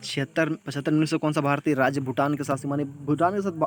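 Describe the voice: A man talks at a fast pace with fairly even intonation. His pitch is fairly high.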